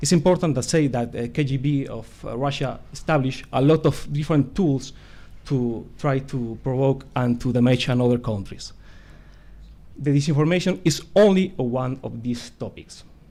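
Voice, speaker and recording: In a very clean recording with a silent background, a man speaks with a non-native accent at a moderate pace. His tone is dark and mellow, his pitch medium with ordinary variation. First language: not English. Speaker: conference speaker on disinformation. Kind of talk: conference presentation. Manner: halting, many hesitations.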